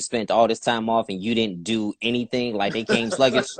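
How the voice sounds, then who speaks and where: A man's medium-pitched voice with a slight Southern accent, the sound dry and close with no echo. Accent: slight southern twang. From Youngstown, Ohio. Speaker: interviewer. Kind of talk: casual interview.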